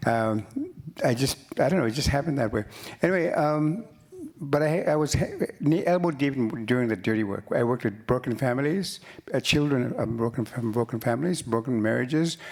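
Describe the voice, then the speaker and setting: The speech moves at a fairly quick pace with ordinary pitch variation and very even loudness. Noticeable background noise is present. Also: man, medium pitch for a man. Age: 70s. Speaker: writer and musician. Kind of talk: panel conversation. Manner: halting.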